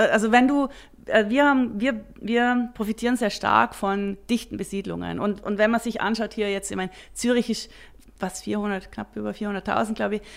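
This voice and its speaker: This very clean recording has a silent background. A woman with a fairly high pitch speaks at a moderate pace with fairly even intonation. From Austria and South Africa. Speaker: startup founder and CEO. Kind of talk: interview. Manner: halting, many fillers and restarts.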